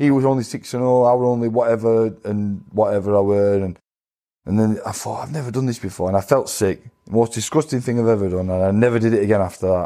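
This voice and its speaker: With a Sheffield accent, a man talks very fast at a medium pitch in a dark, mellow tone with ordinary pitch variation, against a quiet background. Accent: Yorkshire (Sheffield). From Sheffield, northern England. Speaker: professional boxer. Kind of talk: interview. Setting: studio.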